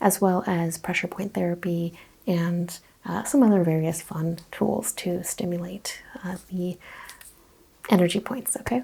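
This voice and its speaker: This soft-spoken woman has a fairly low pitch with ordinary variation. She talks at a fairly slow pace, with long, frequent pauses. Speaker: holistic practitioner roleplay. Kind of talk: ASMR roleplay. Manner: soft-spoken, relaxing.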